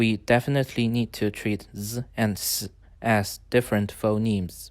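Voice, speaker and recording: Speaking very slowly with a Chinese accent, a man uses a medium pitch over a very clean recording with a silent background. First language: Mandarin Chinese. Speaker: language-learning YouTuber. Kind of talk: tutorial. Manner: formal.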